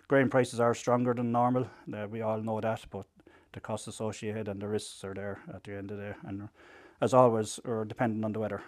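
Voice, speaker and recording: With an Irish accent, a man talks at a fairly quick pace in a medium pitch, his intonation monotone and flat. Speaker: farmers' group representative. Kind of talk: interview. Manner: halting.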